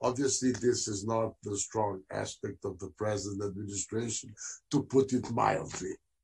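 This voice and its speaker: Somewhat breathy, a man speaks at a fairly low pitch. His intonation is fairly even and his pace moderate. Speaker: former diplomat, panelist. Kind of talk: panel discussion, asking questions.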